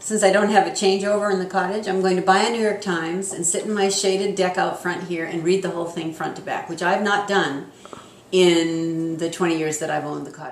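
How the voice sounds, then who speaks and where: A woman's medium-pitched voice at a fairly quick pace, fairly even in intonation, with audible room echo and noticeable background noise. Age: 60s. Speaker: public relations consultant and homeowner. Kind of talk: interview.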